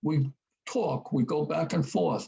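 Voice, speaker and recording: His voice is somewhat breathy, and this man has a dark, mellow tone. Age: 80s+. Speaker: war veteran. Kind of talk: casual chat.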